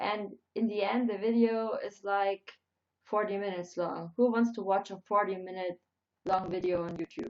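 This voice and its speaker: A woman with a German accent, medium in pitch, with fairly even intonation. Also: moderate pace. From Germany. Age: 20s. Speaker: YouTuber. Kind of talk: live stream chat. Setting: live stream. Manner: halting.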